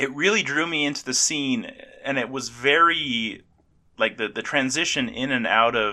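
A man speaks in a bright, sharp tone with lively intonation. The recording is very clean, the background silent. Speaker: podcast host. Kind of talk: casual chat.

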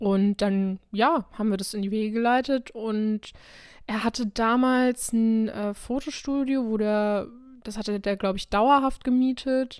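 Fairly high in pitch, a woman talks with fairly even intonation. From Krefeld, western Germany. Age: 20s. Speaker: podcast co-host and model. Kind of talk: casual chat. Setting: remote recording over the internet.

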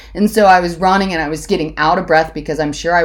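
A woman with an American accent speaks in fairly even intonation, with vocal fry. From Ohio, US (Hudson). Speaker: college alumna guest. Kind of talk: casual chat.

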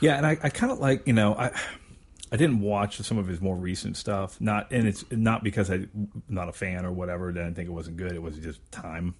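A man's very deep, low voice, fairly quick in pace, with lively intonation. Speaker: podcast host. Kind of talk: casual chat. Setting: studio with headphones. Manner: loud.

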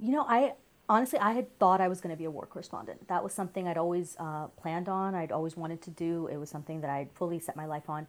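A woman talks at a very fast pace with a fairly low pitch and ordinary pitch variation. The recording is very clean, with a silent background. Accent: American. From New York. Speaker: journalism professor. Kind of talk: interview. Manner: conversational with many fillers.

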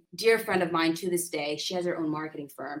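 Talking very fast, a woman with a Californian accent has a fairly low-pitched voice. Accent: Californian American English. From San Diego, California. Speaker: lawyer. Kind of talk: interview.

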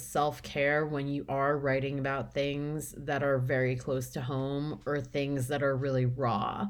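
This woman has an American accent and a very deep, low pitch. She speaks at a very slow pace. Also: very clean recording, silent background. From Long Island, New York. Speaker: novelist. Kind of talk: interview.

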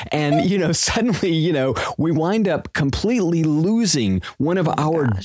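Noticeable background noise sits under this man's moderate-speed delivery. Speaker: veterinarian podcast host. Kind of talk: casual podcast discussion.

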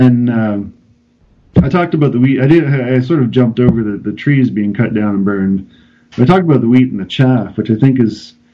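With ordinary pitch variation and a medium pitch, the man uses an unremarkable speaking voice. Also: fairly quick pace. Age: 30s. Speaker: pastor. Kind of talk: casual interview chat.

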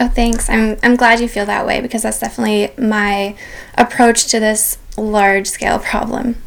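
Over noticeable background noise, a woman with a fairly high pitch speaks in a monotone, flat way at a moderate pace. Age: 20s. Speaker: sustainability blogger and climate advocate. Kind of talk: interview. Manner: hesitant, many fillers.

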